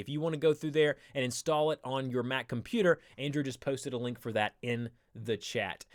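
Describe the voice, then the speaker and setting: Dry and close with no echo, the recording captures a man with a Southern US accent speaking at a fairly quick pace and fairly high pitch, with ordinary pitch variation. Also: very clean recording, silent background. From US South. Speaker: live stream host. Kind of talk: tutorial. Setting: live stream. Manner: casual, filler-heavy.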